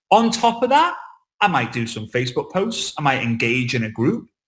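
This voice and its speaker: Speaking in a Liverpool accent, a man with a fairly high pitch sounds animated and somewhat breathy, his pitch swinging very widely. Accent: Liverpool (Scouse) English. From England, Liverpool. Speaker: network marketing trainer. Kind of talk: online training talk. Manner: fast.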